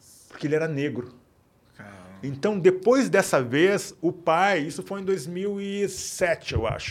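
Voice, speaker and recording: Ordinary pitch variation at a very slow pace. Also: man, high pitch for a man. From Porto Alegre, Brazil. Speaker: writer and poet.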